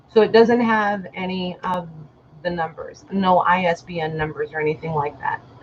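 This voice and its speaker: This woman has a fairly low pitch and ordinary pitch variation, speaking with an American accent. Noticeable background noise runs behind her. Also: moderate pace. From Illinois, US. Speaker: online vintage seller. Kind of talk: live stream sale. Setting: live video stream.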